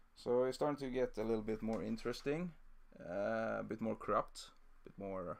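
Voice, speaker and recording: A man talks at a fairly quick pace in a Swedish accent. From southern Sweden (Scania). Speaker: miniature painting streamer. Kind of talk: live-stream painting tutorial. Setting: live stream. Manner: halting, many fillers.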